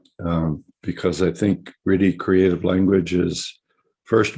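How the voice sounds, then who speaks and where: Speaking fairly slowly, a man with a very deep, low pitch and a dark, mellow tone shows ordinary pitch variation. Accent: American. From US West Coast, San Francisco. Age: 60s. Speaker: psychotherapy teacher. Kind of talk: webinar lecture. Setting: video webinar. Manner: hesitant, many fillers.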